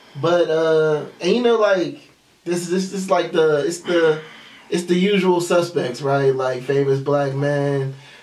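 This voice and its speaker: A man talks at a very slow pace. His fairly high pitch moves with ordinary variation. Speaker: podcast co-host. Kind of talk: casual chat. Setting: studio. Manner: animated. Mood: joking, amused storytelling. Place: studio.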